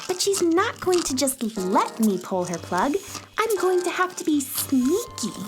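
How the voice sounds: Using a put-on character voice at a high pitch, a woman speaks at a fairly slow pace with a fairly bright tone and big pitch swings while faint music plays in the background.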